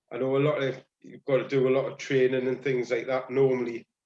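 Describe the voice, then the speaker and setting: A man is speaking. He has a strong Geordie accent. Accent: Geordie, thick. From northeast England (Tyneside). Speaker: paddling club member. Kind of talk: casual chat. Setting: video call.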